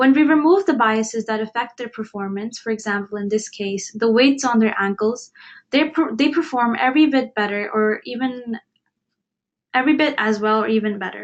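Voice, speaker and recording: A woman's fairly high voice in an Indian accent, with ordinary pitch variation and a moderate pace. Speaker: webinar presenter. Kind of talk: webinar presentation.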